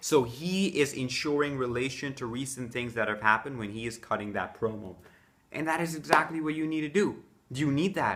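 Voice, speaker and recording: Here is a man with a normal speaking voice at a medium pitch. He moves at a fairly quick pace with ordinary pitch variation. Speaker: wrestling fan giving promo advice. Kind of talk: casual talk to camera, instructional. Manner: conversational, explanatory, with filler words.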